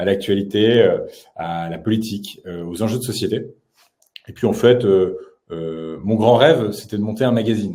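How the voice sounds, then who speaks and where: With long, frequent pauses and big swings in loudness, a man speaks at a fairly low pitch in a dark, mellow tone, and audible room echo surrounds him. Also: ordinary pitch variation, moderate pace. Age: 20s. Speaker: YouTube journalist. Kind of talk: interview. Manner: halting, many fillers.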